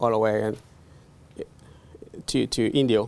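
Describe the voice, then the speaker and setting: A man talks at a moderate pace. His pitch is medium. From Guerrero, Mexico (Nahuatl-speaking village). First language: Nahuatl. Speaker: immigrant farm worker. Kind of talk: seminar talk, personal testimony. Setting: in front of an audience. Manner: halting, many fillers.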